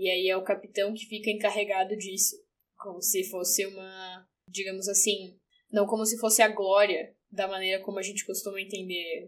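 A woman speaks at a moderate pace and medium pitch in a monotone, flat intonation, captured in a very clean recording with a silent background. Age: 20s. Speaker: English teacher and journalist. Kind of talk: casual chat.

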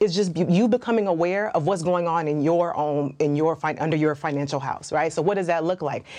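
The talk runs at a fairly quick pace with hardly any pauses, over noticeable background noise. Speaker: personal finance expert. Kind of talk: panel discussion on personal finance.

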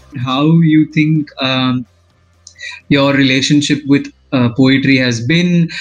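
A man with an Indian accent, fairly high in pitch, at a very slow pace with long, frequent pauses. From Maharashtra, India. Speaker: podcast host. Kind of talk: casual interview chat.

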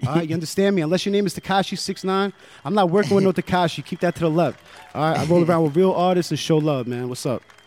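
Over noticeable background noise, a man with an American accent talks very fast at a high pitch, his loudness swinging widely and his pitch variation ordinary. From New Jersey (Jersey City), Colombian family. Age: 20s. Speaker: rapper. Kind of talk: casual interview chat. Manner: laid-back, filler-heavy.

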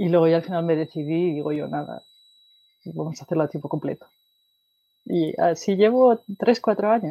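A woman's fairly low, dark, mellow voice with lively intonation at a moderate pace, long, frequent pauses, and a very clean recording against a silent background. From Spain, Asturias. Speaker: data analytics expert, mechanical engineer. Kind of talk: interview.

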